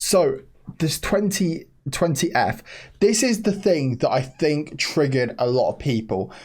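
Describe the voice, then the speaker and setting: Recorded very cleanly against a silent background, a man speaks quietly at a fairly high pitch with ordinary pitch variation. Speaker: stock market youtuber. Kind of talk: stock analysis commentary. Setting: at home, family member asleep upstairs. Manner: kept quiet, voice lowered.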